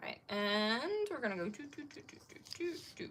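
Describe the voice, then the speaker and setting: A woman's high, bright, sharp voice with an American accent, very wide pitch swings and a moderate pace. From Maryland, US. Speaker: scrapbooking YouTuber. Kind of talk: live-stream crafting tutorial chat. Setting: live stream. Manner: chatty, thinking aloud.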